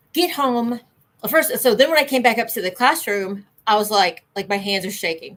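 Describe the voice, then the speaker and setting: A woman's ordinary speaking voice, fairly high in pitch, with lively intonation at a moderate pace. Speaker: ADHD channel co-host. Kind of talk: casual livestream chat.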